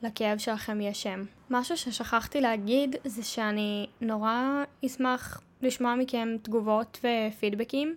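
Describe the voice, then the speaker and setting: The speech moves at a very slow pace with fairly even intonation, in a very clean recording with a silent background. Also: woman, fairly high pitch for a woman. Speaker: podcaster living with endometriosis. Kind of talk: personal monologue.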